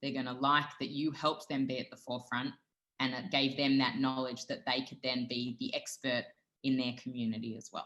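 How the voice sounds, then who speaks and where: In an Australian accent, a woman talks at a fairly quick pace. Her pitch is very deep and low, and her intonation stays monotone and flat. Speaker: dietitian and food brand founder. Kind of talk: interview.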